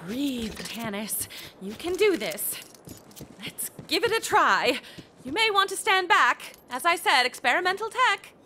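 A woman puts on a character voice with a high pitch, a bright, sharp tone, big pitch swings and a fairly slow pace.

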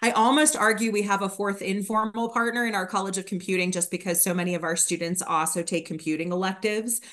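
In an unremarkable speaking voice, a woman talks at a fairly quick pace with medium pitch and ordinary pitch variation. The background is quiet. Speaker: graduate program administrator. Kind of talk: informational presentation. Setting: video call. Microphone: video call.

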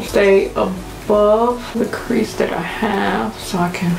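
Light background noise with audible room echo. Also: woman. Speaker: beauty vlogger. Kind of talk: casual makeup tutorial talk to camera. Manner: pitch goes up and down. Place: home room. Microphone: camera far.

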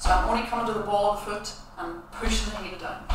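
A woman speaks in a room with strong echo, with noticeable noise in the background. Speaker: dance teacher. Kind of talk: online dance class tutorial. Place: empty room. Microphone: camera far.

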